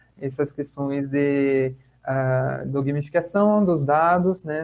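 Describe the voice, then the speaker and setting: At a very slow pace, a man with a French accent talks in a fairly high pitch with fairly even intonation. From France. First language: French (speaking Portuguese). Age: 30s. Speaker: lecturer on gamification, social impact professional. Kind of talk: online talk / webinar. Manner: hesitant, many fillers and repetitions.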